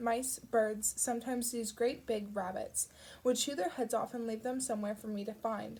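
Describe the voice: Fairly even intonation in plain reading aloud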